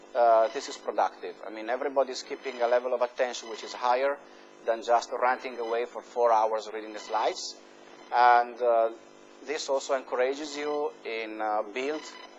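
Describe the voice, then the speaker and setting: With music in the background, a man with an Italian accent speaks at a medium pitch and a moderate pace, his intonation fairly even but his loudness swinging widely. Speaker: university professor. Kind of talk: lecture. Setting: lecture hall with students. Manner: hesitant, many fillers.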